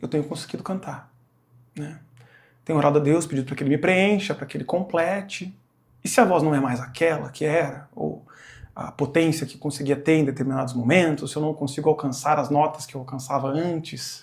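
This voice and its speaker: Speaking fairly quickly, a man with a fairly high pitch sounds somewhat breathy and keeps his intonation fairly even. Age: 40s. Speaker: church singer sharing testimony. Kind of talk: testimony.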